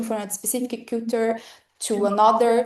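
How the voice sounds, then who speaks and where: A woman speaks at a fairly high pitch with fairly even intonation, in a Brazilian Portuguese accent. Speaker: academic presenter, motion designer. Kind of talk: lecture. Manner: halting, frequent fillers.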